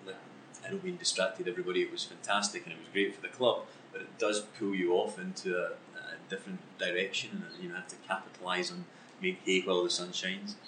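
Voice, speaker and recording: A man with a Scottish accent talks at a very fast pace with big swings in loudness, over noticeable background noise. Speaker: football club executive. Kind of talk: interview. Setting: on location.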